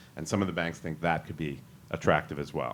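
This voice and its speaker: The pace is fairly quick. It is a man who speaks. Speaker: securities lawyer on a panel. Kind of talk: panel presentation. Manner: fast.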